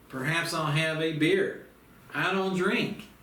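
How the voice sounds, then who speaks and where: Very slow male speech with noticeable background noise and audible echo from the room. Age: 60s. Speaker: self-help course teacher. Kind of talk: instructional monologue. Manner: casual, folksy.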